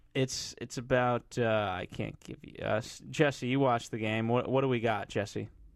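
An unremarkable speaking voice moves at a moderate pace with fairly even intonation, hardly any pauses and big swings in loudness. The recording is very clean, with a silent background. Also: man, medium pitch for a man. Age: 20s. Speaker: TV recap podcast co-host. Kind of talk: casual chat. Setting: studio.

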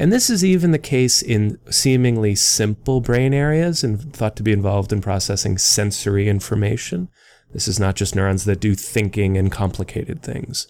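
Here a man with an American accent uses a plain, everyday voice, fairly low in pitch. He keeps a moderate pace with ordinary pitch variation. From US Northeast, northern New Jersey. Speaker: neuroscience professor. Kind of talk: interview.

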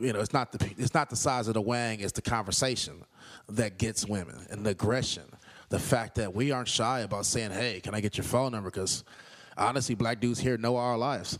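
At a fairly quick pace, a man with a normal speaking voice keeps his medium pitch and intonation fairly even. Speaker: dating advice guest. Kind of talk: casual storytelling and advice.

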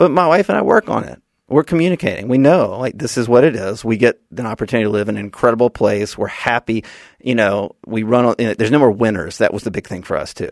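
Speaking very fast with lively intonation, a man with an Alabama accent and medium pitch is heard in a dry, close sound with no echo against a quiet background. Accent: Southern US (Alabama). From US South, Birmingham, Alabama. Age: 40s. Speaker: political marketing strategist and author. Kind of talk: casual interview.

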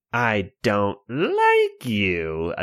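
A man uses a put-on character voice at medium pitch. It sounds shrill. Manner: hostile, shrieking.

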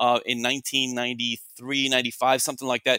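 A man with an American accent talks at a very fast pace with a bright, sharp tone. His pitch is medium, and the sound is dry and close with no echo. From Miami, Cuban American. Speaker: investment analyst. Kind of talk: interview storytelling. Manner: halting, many fillers.

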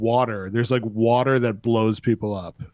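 A man with an American accent uses an ordinary speaking voice at a medium pitch, with ordinary pitch variation. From US Northeast (New York State). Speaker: podcast host, guest. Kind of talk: casual chat. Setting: remote call.

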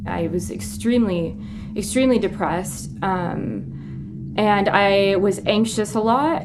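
Audible room echo surrounds a woman speaking with a Midwestern American accent. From US Midwest. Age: 30s. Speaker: journalist. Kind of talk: interview testimony.

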